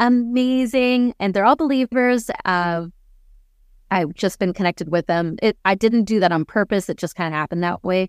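A woman with an unremarkable speaking voice and a Canadian accent, medium pitch, lively intonation and a moderate pace, in a dry, close sound with no echo. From Canada. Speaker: missionary turned business owner. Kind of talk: interview storytelling. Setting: remote interview.

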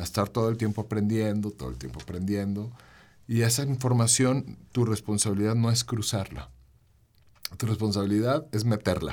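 A man speaks with a central Mexican accent. His fairly low voice has lively intonation. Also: moderate pace. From Mexico, León (Bajío). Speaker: singer-songwriter. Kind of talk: casual interview chat.

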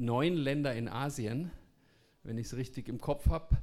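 A man's medium-pitched voice with ordinary pitch variation at a fairly slow pace. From Bavaria. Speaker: entrepreneur. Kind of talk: talk.

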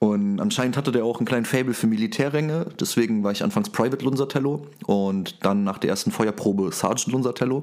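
Very fast talk from a man at medium pitch, the pitch varying in an ordinary way. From Saarland, Germany. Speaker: rapper. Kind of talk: interview.

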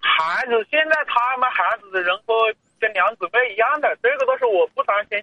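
With very even loudness, a man speaks at an extremely high pitch. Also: ordinary pitch variation, moderate pace. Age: 40s. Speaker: caller, driving instructor. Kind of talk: radio call-in conversation.

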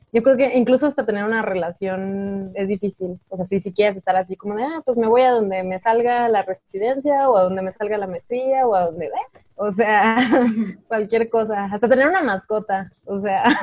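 With pitch that varies in an ordinary way, a woman speaks at a moderate speed. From Mexico, Guanajuato. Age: 20s. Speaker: painter. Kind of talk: casual chat. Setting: remote call recording.

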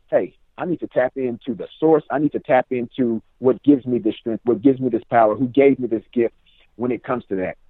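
A man with an American accent and a medium pitch talks at a fairly quick pace in an unremarkable speaking voice. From Richmond, California. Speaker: author and student success coach. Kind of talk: casual interview.

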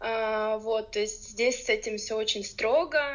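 A woman's unremarkable speaking voice, fairly high, fairly slow, with fairly even intonation. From Ukraine. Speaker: podcast guest, blogger. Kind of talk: casual interview.

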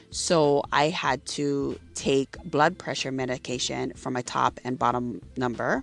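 Music plays in the background as a woman talks at a fairly slow pace, with hardly any pauses. Her voice is very deep and low, with ordinary pitch variation. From Hawaii (Maui). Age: 30s. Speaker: podcast host. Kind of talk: casual monologue. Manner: casual, with frequent fillers.

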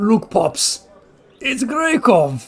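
A man performs a put-on character voice at an extremely high pitch with very wide swings. Faint music plays behind him. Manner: gruff.

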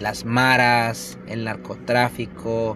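A medium-pitched male voice against noticeable background noise. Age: 40s. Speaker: podcaster. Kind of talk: opinion monologue. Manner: halting.

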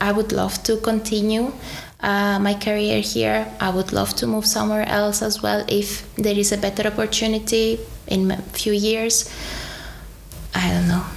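Against noticeable background noise, a woman with a Greek accent speaks at a moderate pace. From Greece. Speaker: dentist and graduate. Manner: halting, with fillers.

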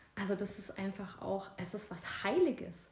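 Vocal fry in a woman's voice, its pitch varying in an ordinary way. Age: 40s. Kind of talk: casual chat. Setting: at home on a couch.

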